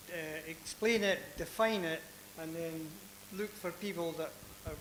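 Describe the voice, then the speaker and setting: The voice moves at a moderate pace with fairly even intonation. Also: man. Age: old. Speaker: audience member, retired accountant. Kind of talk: audience comment at panel.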